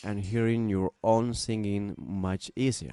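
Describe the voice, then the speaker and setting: A man with a Peruvian accent speaks in a fairly low pitch with a dark, mellow tone. The sound is dry and close, with no echo. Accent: Peruvian Spanish accent, non-native English. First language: Spanish. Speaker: musician and music production student. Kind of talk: tutorial. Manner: halting, many fillers and restarts.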